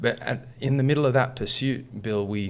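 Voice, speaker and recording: Moderate pace, ordinary pitch variation and medium pitch from a man with an Australian accent. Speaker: musician and coach. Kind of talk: interview storytelling.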